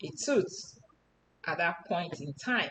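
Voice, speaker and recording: This woman has a Nigerian accent. She speaks at a very slow pace. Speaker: personal storyteller. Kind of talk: personal testimony.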